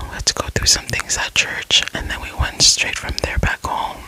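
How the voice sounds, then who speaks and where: The speech is whispered, moving at a moderate pace. Behind it, background noise is noticeable. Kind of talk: ASMR whispered ramble. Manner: soft-spoken, relaxing.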